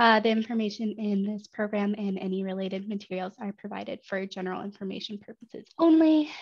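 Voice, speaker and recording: A woman talks very fast in a somewhat breathy voice at a medium pitch with ordinary pitch variation and big swings in loudness. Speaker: webinar presenter. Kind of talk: online seminar presentation. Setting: online webinar. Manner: many filler ums.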